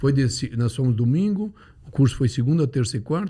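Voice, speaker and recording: Fairly quick and lively in intonation, a man speaks with a fairly high pitch. His voice is somewhat breathy, with a dark, mellow tone. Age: 70s. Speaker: neurosurgeon. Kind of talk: casual chat.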